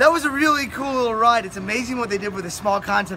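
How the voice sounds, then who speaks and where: The voice is raised and projected, with ordinary pitch variation, over light background noise. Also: man. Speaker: travel vlogger. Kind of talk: casual vlog chat. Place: street. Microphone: phone near.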